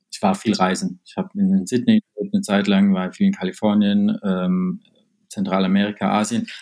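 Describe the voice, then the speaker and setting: His loudness shifts in big swings. This man keeps a moderate pace. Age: 20s. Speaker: startup founder. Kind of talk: interview. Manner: hesitant, many fillers.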